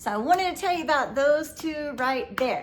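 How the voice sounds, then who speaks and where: A woman talks in an animated tone against noticeable background noise. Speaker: YouTuber. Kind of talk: casual vlog talk to viewers.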